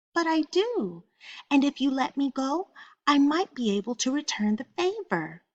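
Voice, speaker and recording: Using a put-on character voice, a woman speaks in a high pitch at a moderate pace. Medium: read story.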